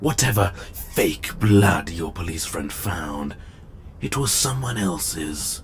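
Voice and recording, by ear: Doing a put-on character voice, a man speaks slowly at a low pitch with lively intonation while faint music plays in the background.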